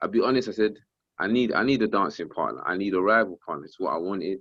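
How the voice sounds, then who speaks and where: A man with a South London accent. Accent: South London, multicultural London English. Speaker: professional boxer and rapper. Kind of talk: casual interview. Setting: phone call. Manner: loud, energetic.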